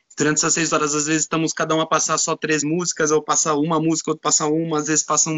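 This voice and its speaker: A man's fairly high voice in a São Paulo accent. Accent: Brazilian Portuguese, São Paulo. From Brazil, São Paulo. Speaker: DJ. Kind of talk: casual chat.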